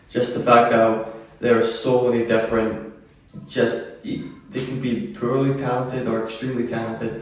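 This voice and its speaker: Amid noticeable background noise and audible room echo, a man with a medium pitch talks at a moderate pace in a monotone, flat way. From Scotland, Greenock. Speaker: musician in experimental duo. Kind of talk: casual interview.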